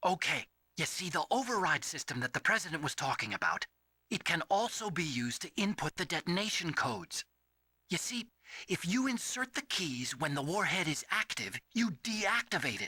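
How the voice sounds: Putting on a character voice, a man speaks at a fairly high pitch with big pitch swings. The tone is bright and sharp, with a slightly husky edge. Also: moderate pace.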